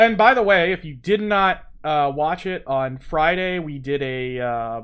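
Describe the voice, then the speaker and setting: Against a quiet background, a man with a slight Southern US accent speaks in a fairly high voice with lively intonation. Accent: slight Southern US accent, little drawl. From US South. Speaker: game development streamer. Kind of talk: live-stream tutorial.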